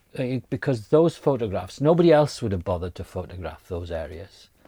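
In a very clean recording with a silent background, a man with a dark, mellow, somewhat breathy tone speaks with hardly any pauses and very wide pitch swings. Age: 60s. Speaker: podcast host. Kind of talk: interview. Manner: halting.

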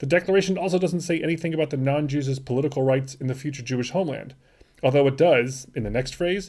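A man's somewhat breathy, fairly high-pitched voice at a fairly quick pace, on a very clean recording with a silent background. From California. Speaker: podcast host, history educator. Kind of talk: scripted narration.

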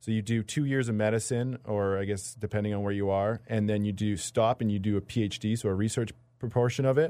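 Very fast and with hardly any pauses, a man speaks with a Canadian accent at a fairly low pitch with a dark, mellow tone. His intonation is fairly even, and the recording is very clean with a silent background. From Canadian Prairies, rural Manitoba. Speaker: medical research student. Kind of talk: casual interview. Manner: halting.

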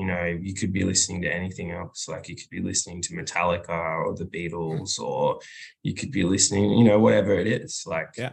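A man with an Australian accent, very deep and low in pitch, somewhat breathy, at a fairly quick pace, with ordinary pitch variation and big swings in loudness. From rural Australia. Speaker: musician, bass player and singer. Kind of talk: casual interview.

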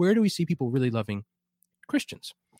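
A man with an American accent talks very fast in a dark, mellow tone, his pitch swinging very widely. The recording is very clean and dry, close with no echo and a silent background. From New Jersey, US. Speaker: scholar and philosophy professor. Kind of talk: interview.

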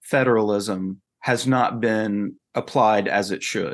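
A man with a Southern US accent speaks at a medium pitch with ordinary pitch variation against a quiet background. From North Carolina. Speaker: futurist and author. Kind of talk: interview conversation.

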